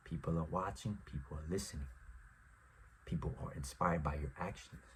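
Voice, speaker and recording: Very deep, low-pitched male voice with vocal fry, lively intonation, and a moderate pace. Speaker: podcast host. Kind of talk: motivational monologue. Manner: quiet, not projecting.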